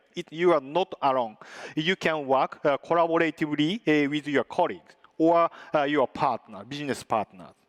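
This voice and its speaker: At a moderate pace, a man with a non-native accent speaks at a fairly high pitch with ordinary pitch variation, the sound dry and close with no echo. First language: not English. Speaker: tech company presenter. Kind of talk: conference presentation with demo. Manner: halting, many filler sounds.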